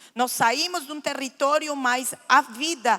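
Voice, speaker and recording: Her voice raised and projected, a woman speaks very slowly at high pitch in a bright, sharp tone with ordinary pitch variation. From Lebanon, raised in Argentina. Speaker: guest speaker giving testimony. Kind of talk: testimony. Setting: church.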